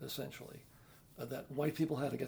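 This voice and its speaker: At a fairly quick pace, a man talks with a New York accent. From New York City (the Bronx). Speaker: retired activist and Irish musician. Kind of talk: interview. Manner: halting.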